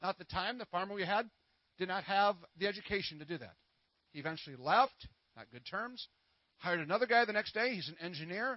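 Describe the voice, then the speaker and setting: A high-pitched man talks at a very fast pace in an animated tone, with lively intonation, big swings in loudness and long, frequent pauses. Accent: American. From Minnesota. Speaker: traveling minister. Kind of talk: sermon. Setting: church. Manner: fast talker; animated, call and response.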